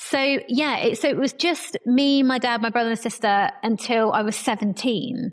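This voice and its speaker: A woman's high voice at a moderate pace, with ordinary pitch variation, very even loudness and noticeable background noise. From Somerset, southwest England. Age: 40s. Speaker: podcast guest. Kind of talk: interview conversation.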